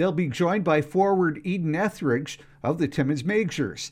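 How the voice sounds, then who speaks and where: A man with a Canadian accent speaks at a moderate pace in an ordinary speaking voice, his fairly high pitch carrying ordinary pitch variation over a quiet background. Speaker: radio newsreader. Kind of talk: radio newscast, crisp scripted newsreading delivered straight to the listener. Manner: steady, formal, even-paced.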